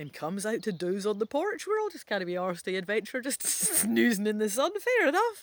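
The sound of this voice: The voice reads in an unforced way.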